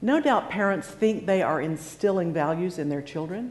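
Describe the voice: Someone reads the words aloud plainly.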